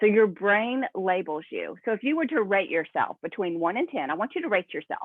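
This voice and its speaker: Talking at a fairly quick pace, a woman uses an animated tone, a fairly high pitch and very wide pitch swings. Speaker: network marketing team leader. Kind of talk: motivational talk to team via video call. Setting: video call. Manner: fast.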